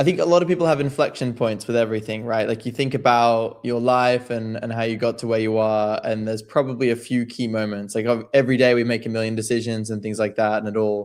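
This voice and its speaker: A man speaks with an Australian accent at a medium pitch. His pace is fairly quick. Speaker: crypto trader and writer. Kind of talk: podcast interview.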